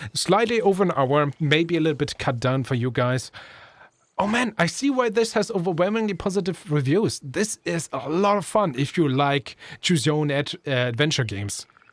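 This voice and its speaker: With a non-native accent, a man speaks at a moderate pace in a fairly high pitch with very wide pitch swings, in a very clean recording with a silent background. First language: not English. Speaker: gaming YouTuber. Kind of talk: let's play commentary. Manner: casual, self-correcting.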